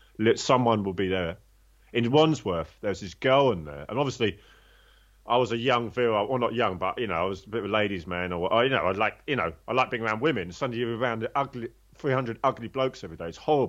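Very fast and with lively intonation, a man talks at a medium pitch. He has a London accent. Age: 50s. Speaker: former prisoner turned personal trainer. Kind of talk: interview testimony.

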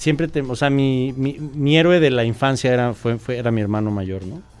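This man speaks with a Mexico City accent. His pitch is medium and varies in an ordinary way. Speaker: rock singer and guitarist. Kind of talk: casual chat. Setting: studio.

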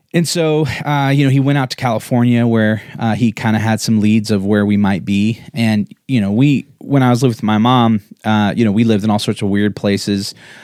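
An unremarkable speaking voice belongs to a man with an American accent, pitched medium, his loudness very even. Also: ordinary pitch variation, fairly quick pace. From Colorado, US. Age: 40s. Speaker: podcast co-host, entrepreneur. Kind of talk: casual chat, life story interview. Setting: livestreamed video podcast.

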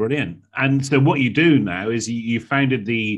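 A man with a plain, everyday voice talks at moderate pace with ordinary pitch variation. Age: 40s. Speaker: podcast host, speaking coach. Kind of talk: interview conversation. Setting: video call.

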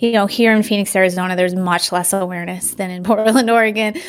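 A woman talks at medium pitch with fairly even intonation. Hers is a plain, everyday voice. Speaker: acupuncturist and detox educator. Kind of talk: interview chat.

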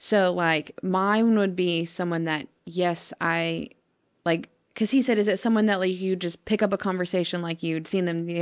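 A woman speaks in a fairly low pitch with fairly even intonation and an ordinary speaking voice. The recording is very clean, with a silent background. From East Texas (Tyler). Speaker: podcast host, school innovation director. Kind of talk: casual interview chat.

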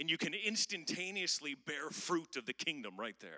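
Bright and sharp with vocal fry, a man with an American accent speaks with lively intonation. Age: 50s. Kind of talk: sermon. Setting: stage with audience.

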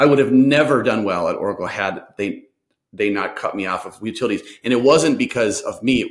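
In an Upper Midwest accent, a man speaks at a fairly quick pace. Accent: Upper Midwest American. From Minnesota. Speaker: sales consultant. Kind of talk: interview.

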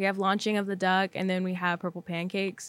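A woman with a Texan accent speaks at a medium pitch. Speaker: podcast host, college peer financial coach. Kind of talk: casual chat.

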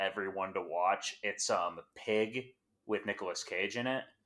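On a very clean recording with a silent background, a man with a normal speaking voice of fairly low pitch talks at a moderate pace with fairly even intonation. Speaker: panelist. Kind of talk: casual roundtable discussion.

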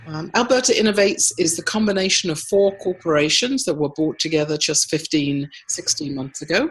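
A woman speaks with an American accent and lively intonation. Noticeable background noise runs behind her. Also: fairly low pitch for a woman, moderate pace. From United States. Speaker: innovation agency CEO. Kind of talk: interview conversation.

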